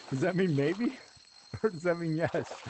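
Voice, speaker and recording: With ordinary pitch variation, a man talks at a fairly quick pace against noticeable background noise. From New Mexico. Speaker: gaming streamer. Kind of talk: casual chat.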